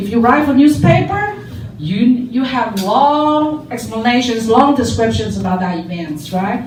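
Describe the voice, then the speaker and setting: In a room with audible echo and noticeable background noise, a woman speaks in a high voice with very wide pitch swings. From Taiwan. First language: Chinese (Mandarin). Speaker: lecturer. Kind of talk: lecture. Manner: conversational, repetitive restarts.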